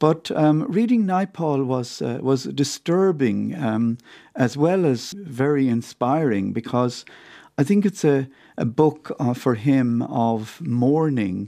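This man has a medium pitch and a dark, mellow tone, with lively intonation. He speaks at a very slow pace against a quiet background. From Ireland, County Clare. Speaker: author. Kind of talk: radio interview. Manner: halting, many fillers and repetitions.

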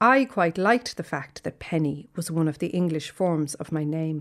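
A woman with a Dublin accent and a fairly low pitch, in a very clean recording with a silent background. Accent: Dublin Irish. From Ireland, Dublin. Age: 50s. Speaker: essayist. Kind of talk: reading aloud.

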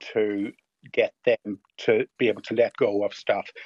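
A man speaks with a Northern Irish accent. His pace is fairly slow. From Northern Ireland. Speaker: hoarding specialist. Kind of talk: radio interview. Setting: phone call.

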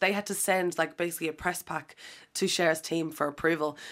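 A woman with a fairly low pitch is heard in a very clean recording against a silent background. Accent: Irish. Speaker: DJ and radio presenter. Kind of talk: casual interview.

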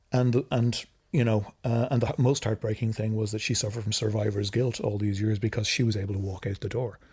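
On a very clean recording with a silent background, a man with an Irish accent speaks very fast with hardly any pauses, in a fairly low, somewhat breathy, monotone, flat voice. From Ireland. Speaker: filmmaker. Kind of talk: casual chat.

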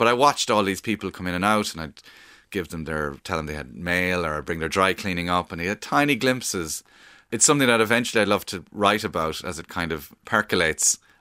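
Speaking at a fairly quick pace, a man with a very deep, low pitch and a bright, sharp tone comes through in a very clean recording with a silent background. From Cork, Ireland. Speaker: stand-up comedian and writer. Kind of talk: casual interview chat. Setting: radio studio interview. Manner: talks quickly, conversational.

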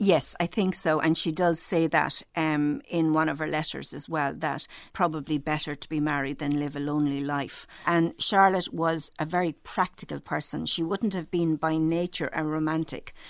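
A woman's very deep, low voice with an Irish accent, fairly even intonation, a moderate pace and hardly any pauses, on a very clean recording with a silent background. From Ireland. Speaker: novelist. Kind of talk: interview.

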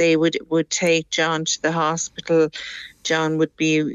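Here a woman talks in an Irish accent. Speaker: caller, mother of addicted son. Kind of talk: radio phone-in call. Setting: phone call over WhatsApp.

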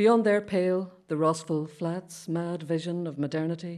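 A woman speaks with a Derry accent in a dark, mellow tone. The recording is very clean, with a silent background. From Derry, Northern Ireland. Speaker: poet. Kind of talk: reading aloud poetry.

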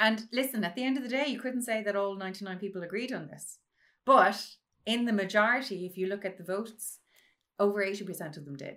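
With a western Irish accent, a woman speaks at a fairly quick pace in a medium pitch and a bright, sharp tone, her loudness swinging widely and her pitch varying in an ordinary way. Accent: Irish, western rural. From rural west of Ireland (Mayo). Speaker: mathematics professor and citizens' assembly chair. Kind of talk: interview conversation.

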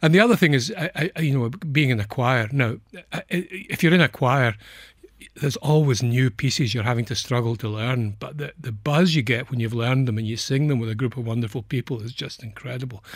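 In a very clean recording with a silent background, a man speaks at a medium pitch. His voice is somewhat breathy, with ordinary pitch variation. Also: fairly quick pace. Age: 70s. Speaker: clinical psychologist. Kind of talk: radio interview. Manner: halting.

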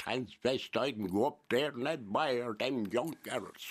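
A man with a Waterford accent speaks in a bright, sharp tone with ordinary pitch variation. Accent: Irish, Waterford. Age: 70s. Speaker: painter. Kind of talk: radio interview. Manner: robust, forceful talker.

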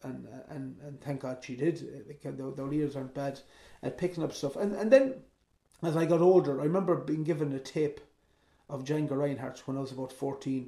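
A man with an Irish accent speaks at a fairly high pitch in a dark, mellow tone. His intonation is fairly even and his pace fairly quick. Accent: Mayo Irish. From Ireland, County Mayo. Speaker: traditional musician and composer. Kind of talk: interview.

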